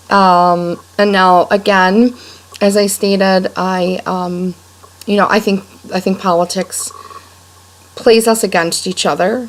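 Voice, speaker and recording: With a western New York accent, a woman speaks very slowly at a medium pitch, her intonation fairly even, with long, frequent pauses and noticeable background noise. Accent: western New York American. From Rochester, New York, US. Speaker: blogger. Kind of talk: personal video blog monologue. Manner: many fillers and repetitions.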